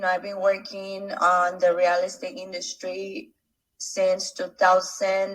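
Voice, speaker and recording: A woman with a Spanish accent speaks at a very slow pace, her loudness swinging widely. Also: medium pitch for a woman, ordinary pitch variation. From Mexico. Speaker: real estate investor. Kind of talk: casual interview.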